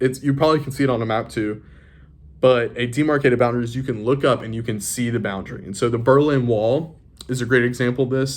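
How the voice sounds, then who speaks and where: A man at medium pitch, fairly even in intonation, at a fairly quick pace. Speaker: high school teacher. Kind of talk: recorded lesson. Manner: fast; halting.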